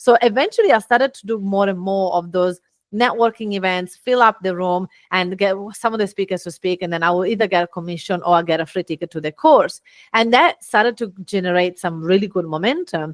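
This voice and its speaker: On a very clean, dry recording that is close with no echo and a silent background, a woman with an Italian accent speaks fairly quickly at medium pitch with ordinary pitch variation. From Italy. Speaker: business owner and speaker. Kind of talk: podcast interview. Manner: animated.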